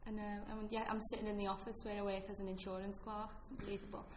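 A woman with a fairly high pitch speaks at a fairly quick pace over noticeable background noise. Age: 30s. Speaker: stand-up comedian. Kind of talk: casual interview chat. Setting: office boardroom.

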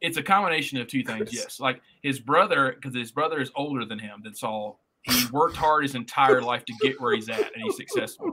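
In a Southern US accent, a man talks at a fairly quick pace with a fairly high, bright, sharp voice, ordinary pitch variation and big swings in loudness. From US South, northwest Tennessee. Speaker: podcast co-host. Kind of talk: casual chat.

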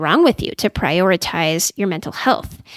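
A woman speaks with a Californian accent, her pitch swinging very widely. The recording is very clean with a silent background and a dry, close sound with no echo. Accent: Californian American English. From California, Silicon Valley. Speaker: psychologist. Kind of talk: interview.

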